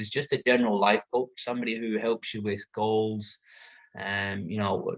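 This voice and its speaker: Speaking at a moderate pace, a man keeps his medium-pitched voice in fairly even intonation. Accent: British. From UK. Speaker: life coach and former carpenter. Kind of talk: talk to an audience. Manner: casual, with frequent fillers.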